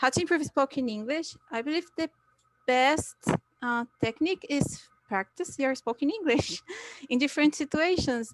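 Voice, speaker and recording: A woman speaks at a high pitch with lively intonation. Her moderate pace comes through a dry, close sound with no echo. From Brazil. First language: Portuguese. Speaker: English learner. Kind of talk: interview. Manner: halting.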